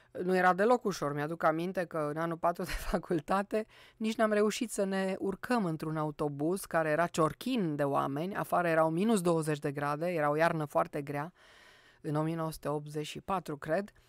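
A woman speaks at a moderate pace in a fairly low voice with ordinary pitch variation. The background is quiet and the sound is dry, with no echo. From Romania, Cluj; Romania. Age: 60s. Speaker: poet and university professor; poet, university professor. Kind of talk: radio interview. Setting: studio. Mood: calm reflective. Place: studio. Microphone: studio mic.

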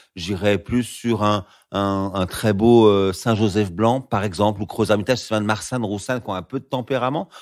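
A man with an ordinary speaking voice talks at a fairly low pitch and a moderate pace, with fairly even intonation. The recording is very clean, and the background is silent. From France, Lyon region. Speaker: sommelier. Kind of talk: conversational wine tutorial.

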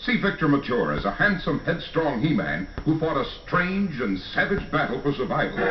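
With very wide pitch swings and hardly any pauses, a man speaks at a fairly high pitch and a moderate pace over noticeable background noise. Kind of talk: movie trailer.

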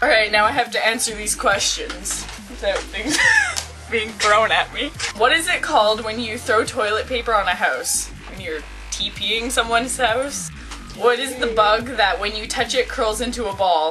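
A woman at a moderate pace, with clear music in the background. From Quebec, Canada. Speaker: vlogger. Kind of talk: casual talk to camera. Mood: playful, giggly. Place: home room. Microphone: webcam.

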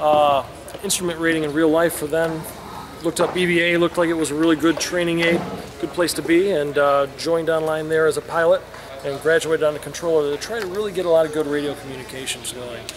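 A man talks very fast with fairly even intonation over noticeable background noise. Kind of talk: interview answer. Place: hall. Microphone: phone near.

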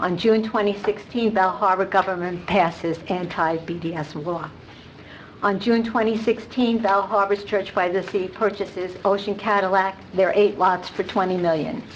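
A woman speaks in a normal speaking voice at a medium pitch, with fairly even intonation. Her pace is fairly slow, with light background noise behind her. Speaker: resident speaking at public comment. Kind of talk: public comment. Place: hall. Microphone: podium.

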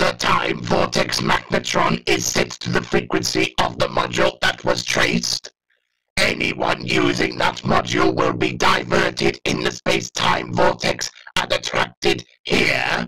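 A man's very deep, low voice, raspy and pitched as a put-on character voice. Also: moderate pace. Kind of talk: fan dub of a TV scene. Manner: commanding, staccato.

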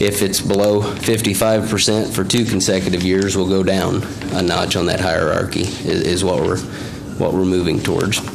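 Over noticeable background noise, a man speaks in a very deep, low pitch with fairly even intonation. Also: moderate pace. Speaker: wildlife biologist. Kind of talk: public meeting presentation. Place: meeting room. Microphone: podium.

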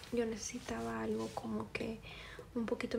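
A soft-spoken woman talks with a gentle tone. Light background noise is present. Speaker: beauty vlogger. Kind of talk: casual vlog chat. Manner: soft-spoken, gentle low-volume ASMR voice. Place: home room. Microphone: phone near.

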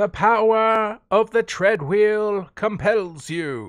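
A put-on character voice at a fairly high pitch moves at a very slow pace in a very clean recording with a silent background. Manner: playful, theatrical.

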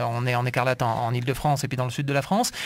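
Words pour out of this man at a very fast rate. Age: 40s. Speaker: radio host. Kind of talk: radio interview. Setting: radio studio. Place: studio. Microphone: studio mic.

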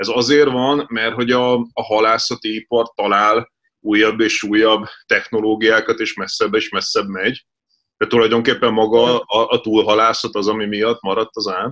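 Over a quiet background, a man with a bright, sharp tone speaks at medium pitch and a moderate pace, his intonation monotone and flat. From Hungary. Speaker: editor-in-chief, interviewer; interviewer. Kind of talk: interview. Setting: studio. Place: home room. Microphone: video call.

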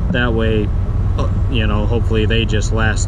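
Loud noise fills the background as the man speaks fairly slowly, the sound dry with no echo. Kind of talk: casual vlog chat. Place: open country. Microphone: phone near.

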